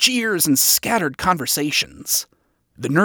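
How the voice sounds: Intonation is lively in a natural reading voice. All around it, the background stays quiet.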